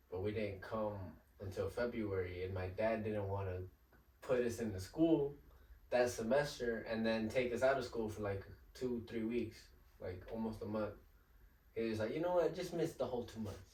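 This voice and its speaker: Somewhat breathy with a dark, mellow tone, the voice moves at a moderate pace with ordinary pitch variation and long, frequent pauses, set in audible room echo. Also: man, medium pitch for a man. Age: 20s. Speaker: Spanish-language musician. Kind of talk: casual chat.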